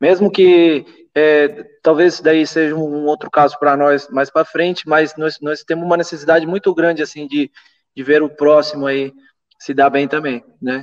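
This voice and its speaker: Fairly high-pitched man with an ordinary speaking voice, fairly even intonation, moderate pace and dry, close sound with no echo. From Venezuela. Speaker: permaculturist and eco-builder. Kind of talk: casual chat.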